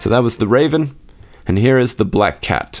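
Over a silent background in a very clean recording, a man with a plain, everyday voice speaks fairly quickly at a medium pitch, his intonation lively. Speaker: podcast host and reader. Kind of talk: literary audiobook reading of Poe horror, dramatic first-person gothic narration.

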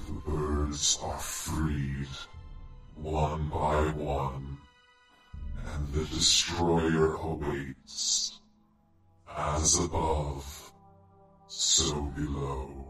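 A man's put-on character voice, very deep and low in pitch, at a very slow pace with long, frequent pauses, slight echo and faint music in the background. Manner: eerie, ominous.

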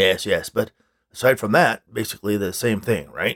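A man's raspy, grumpy put-on character voice at medium pitch and a moderate pace, with ordinary pitch variation and a dry, close sound with no echo. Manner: grumpy, sarcastic, dismissive.

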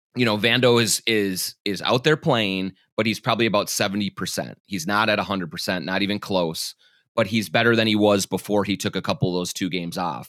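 A man with a Minnesotan accent speaks at a moderate pace in a fairly low pitch with ordinary pitch variation, recorded very cleanly against a silent background with a dry, close sound and no echo. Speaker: sports journalist and podcast host. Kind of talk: casual chat. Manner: stumbles and stammers.

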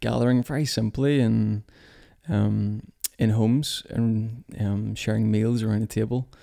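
A man with a Belfast accent, medium in pitch and dark, mellow in tone, at a fairly slow pace with fairly even intonation. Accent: Belfast Northern Irish. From Northern Ireland, near Belfast. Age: 30s. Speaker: church leader. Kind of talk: casual conversation. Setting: kitchen table at home.

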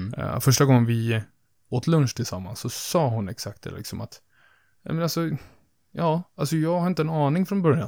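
With lively intonation and a fairly high pitch, a man speaks at a moderate pace in a very clean recording with a silent background. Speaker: podcast host. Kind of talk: casual podcast chat. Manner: animated, jokes around, puts on German.

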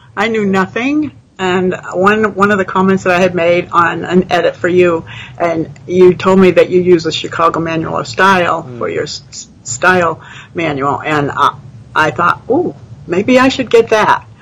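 Against noticeable background noise, a woman with a fairly low pitch talks at a moderate pace with lively intonation. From New England (New Hampshire). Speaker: retiree and beta reader. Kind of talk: casual interview. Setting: live video stream.

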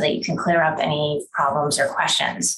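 A woman with an American accent, somewhat breathy, at a moderate pace. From Wisconsin. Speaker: attorney. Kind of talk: lecture.

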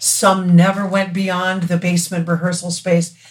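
A woman speaks with an American accent at a fairly low pitch and a fairly slow pace. Her intonation is monotone and flat, with noticeable background noise behind her. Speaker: singer. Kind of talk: casual chat.

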